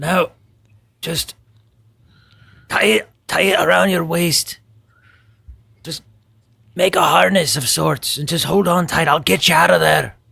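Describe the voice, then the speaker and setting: A man's put-on character voice, raspy and fairly high, at a fairly slow pace with long, frequent pauses. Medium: actual play. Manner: gruff, blunt.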